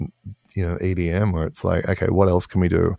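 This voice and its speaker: A man talks at a moderate pace with an Australian accent. The recording is very clean with a silent background, and the sound is dry and close with no echo. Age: 50s. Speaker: electronic musician. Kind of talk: interview.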